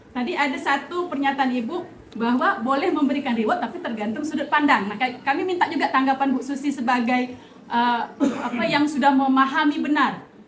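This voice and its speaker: Noticeable background noise sits under the recording. Over it, a woman speaks at a high pitch. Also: ordinary pitch variation, fairly quick pace. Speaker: teacher. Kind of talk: staff meeting discussion.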